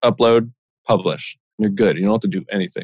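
This man has an unremarkable speaking voice and a medium pitch. He moves along at a fairly quick pace with ordinary pitch variation. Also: dry, close sound with no echo. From Pennsylvania, Lehigh Valley. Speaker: insurance specialist and podcaster. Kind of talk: interview.

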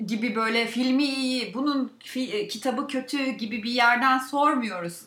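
There is audible room echo as a woman talks at a fairly slow pace in a high voice. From Turkey, Balıkesir province. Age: 30s. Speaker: podcast co-host. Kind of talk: casual chat.

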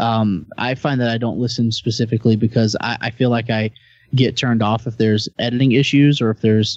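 A man at medium pitch and a fairly quick pace, with an ordinary speaking voice. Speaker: podcaster. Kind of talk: casual chat. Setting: online group call.

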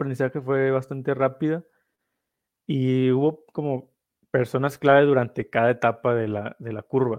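Speaking at a fairly slow pace, an ordinary speaking voice keeps fairly even intonation. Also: man. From northern Mexico. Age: 20s. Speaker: investor, social media educator. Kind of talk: casual interview.

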